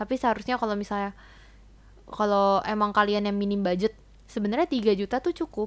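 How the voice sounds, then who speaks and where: A woman talks at a fairly quick pace and medium pitch. Her pitch varies in an ordinary way, in a very clean recording with a silent background. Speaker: university student abroad. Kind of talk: casual chat. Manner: fast; laughing.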